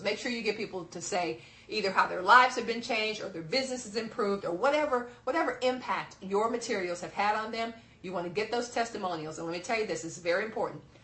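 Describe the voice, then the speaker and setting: Noticeable background noise runs under a woman speaking. She talks at a very fast pace in an animated tone. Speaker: business speaking coach. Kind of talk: seminar presentation.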